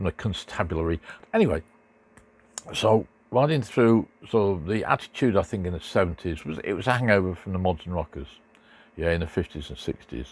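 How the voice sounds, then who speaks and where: Speaking with an English accent, a man with a very deep, low pitch uses lively intonation and takes long, frequent pauses. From Great Britain. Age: 70s. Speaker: motorcycle vlogger. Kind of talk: casual monologue. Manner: halting, many fillers.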